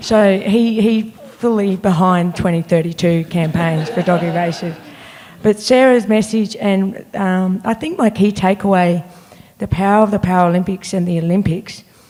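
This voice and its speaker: A woman with an Australian accent speaks at a moderate pace and medium pitch, her intonation fairly even. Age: middle-aged. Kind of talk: panel discussion. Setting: stage with audience.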